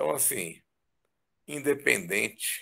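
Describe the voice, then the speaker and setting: A man speaks at a very slow pace. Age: 60s. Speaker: physician. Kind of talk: testimony.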